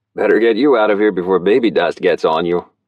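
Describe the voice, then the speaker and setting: A man puts on a character voice, talking very fast at a fairly low pitch with very even loudness. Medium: read story.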